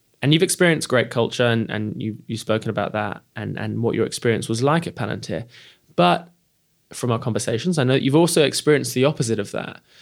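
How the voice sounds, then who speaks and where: Vocal fry colors a very fast voice with lively intonation. The recording is very clean, with a silent background. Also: man, medium pitch for a man. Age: 30s. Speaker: podcast host and company CEO. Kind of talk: interview. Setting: hosted venue.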